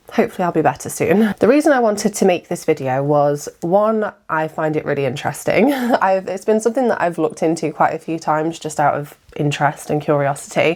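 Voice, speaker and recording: With an English accent, a woman talks at a fairly quick pace with hardly any pauses and lively intonation. Her pitch is fairly low, and noticeable background noise is present. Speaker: YouTuber, wedding videographer. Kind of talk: casual storytelling monologue.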